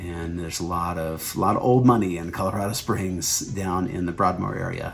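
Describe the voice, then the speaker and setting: A man keeps a moderate pace as noticeable background noise sounds around him. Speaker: real estate agent. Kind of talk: informational video.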